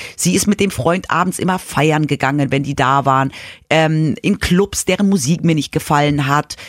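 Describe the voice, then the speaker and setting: A woman speaks at a moderate pace in a very deep, low pitch with ordinary pitch variation and very even loudness. The recording is very clean, with a silent background and a dry, close sound with no echo. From Munich, Bavaria (childhood partly in Madrid). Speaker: podcast co-host. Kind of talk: casual chat.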